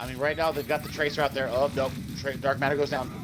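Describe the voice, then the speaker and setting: A man talks at a fairly quick pace with a fairly high pitch. Background noise is noticeable. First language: not English. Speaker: esports co-caster. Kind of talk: live commentary. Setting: broadcast booth. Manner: halting, repeats words.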